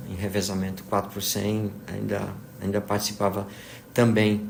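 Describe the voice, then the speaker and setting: Audible room echo surrounds a man who speaks in a fairly low pitch with monotone, flat intonation. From Brazil, moved among several states (military family). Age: 60s. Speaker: physics professor. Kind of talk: interview, life story. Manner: hesitant, many fillers (né, tá, entendeu).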